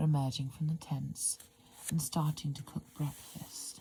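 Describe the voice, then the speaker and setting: A soft-spoken woman whispers at a fairly slow pace, her voice somewhat breathy. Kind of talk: whispered ASMR book reading. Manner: whispered, soft.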